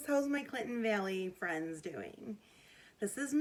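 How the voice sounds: Someone reads aloud in a natural reading voice, the intonation lively throughout.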